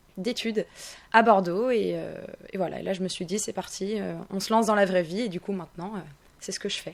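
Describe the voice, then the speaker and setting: At a fairly quick pace but with long, frequent pauses, a woman with a medium pitch and vocal fry speaks in fairly even intonation. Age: 20s. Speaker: singer. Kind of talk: radio interview. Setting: radio studio.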